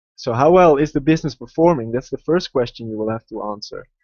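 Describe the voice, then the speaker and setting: A man talks very quickly, his pitch varying in an ordinary way. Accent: Dutch. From Netherlands, Amsterdam. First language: Dutch. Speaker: investing educator, website founder. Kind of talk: live webinar presentation. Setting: online video webinar. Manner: hesitant, many fillers.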